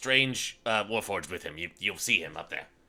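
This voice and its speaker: A man puts on a raspy character voice at a fairly low pitch. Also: moderate pace. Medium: actual play. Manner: curt, matter-of-fact.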